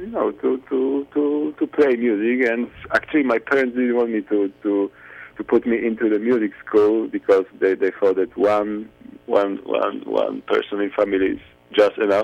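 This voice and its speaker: Here a man speaks with a Polish accent. His pitch sits in the medium range. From Poland. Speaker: jazz violinist and composer. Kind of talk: interview. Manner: halting, many repetitions.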